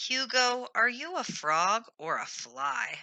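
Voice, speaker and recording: A loud, put-on character voice, female-sounding and high-pitched, at a very slow pace. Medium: read story.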